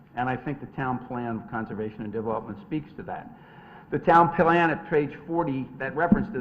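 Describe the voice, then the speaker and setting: Very fast, lively speech from a man at medium pitch, with big swings in loudness and noticeable background noise. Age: 60s. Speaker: attorney presenting a development application. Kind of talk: formal presentation at a zoning hearing. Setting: town commission meeting.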